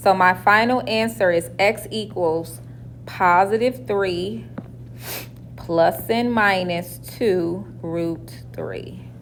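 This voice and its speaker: Very slowly, a woman speaks in a room with audible echo. Noticeable background noise is present too. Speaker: math teacher. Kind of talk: classroom lecture. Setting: classroom with students.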